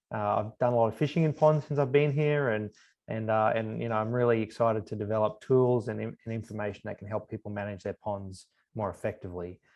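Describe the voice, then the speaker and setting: Speaking at a very fast pace, a man with an Australian accent uses ordinary pitch variation. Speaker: university professor and extension specialist. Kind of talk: webinar lecture. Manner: frequent fillers and repetitions.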